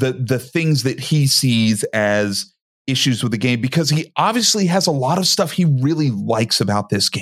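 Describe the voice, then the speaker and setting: A man talks at a moderate pace with lively intonation and a medium pitch. His loudness stays very even, and he has a plain, everyday voice. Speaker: podcast co-host. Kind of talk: casual interview chat.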